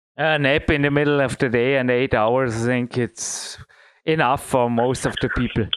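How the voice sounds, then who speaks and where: With a German accent, a man speaks at a moderate pace and medium pitch, with fairly even intonation and very even loudness. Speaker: podcast host. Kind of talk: casual interview.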